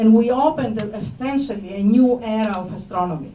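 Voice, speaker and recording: A woman speaks with a Greek accent, her voice fairly high in pitch with a dark, mellow tone. Her pitch variation is ordinary, her pace moderate, and room echo is audible. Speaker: astrophysics professor. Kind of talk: public lecture. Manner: hesitant, many fillers.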